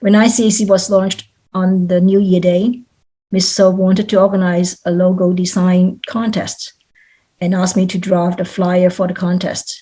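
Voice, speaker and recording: A woman's medium-pitched, somewhat breathy voice with a dark, mellow tone and a Cantonese accent, flat and monotone in intonation, at a moderate pace. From Hong Kong. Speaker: volunteer. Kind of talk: testimony. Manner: formal.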